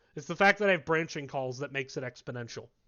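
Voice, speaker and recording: A man speaks loudly. His pitch variation is ordinary. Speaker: university lecturer. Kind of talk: lecture.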